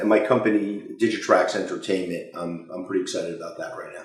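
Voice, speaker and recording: A man talking, with room echo clearly audible. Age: 50s. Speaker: company CEO. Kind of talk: interview Q&A. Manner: loud; halting, many fillers.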